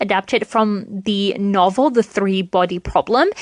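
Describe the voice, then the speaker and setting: A woman speaks at a moderate pace with a British accent. The sound is dry and close, with no echo. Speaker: podcast host. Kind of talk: casual solo podcast chat.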